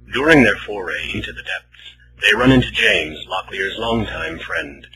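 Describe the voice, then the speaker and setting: Over noticeable background noise, a man with a fairly low voice speaks at a moderate pace, his pitch swinging very widely. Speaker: voice actor. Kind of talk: radio play narration.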